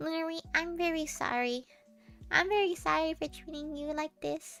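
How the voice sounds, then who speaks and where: A woman's put-on character voice at an extremely high pitch, moderately paced, over faint music in the background. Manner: apologetic, exaggerated.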